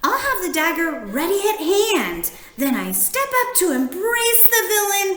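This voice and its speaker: Over clear background noise, a woman uses a put-on character voice at an extremely high pitch with very wide pitch swings, speaking at a moderate pace. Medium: read story. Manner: theatrical, grandiloquent.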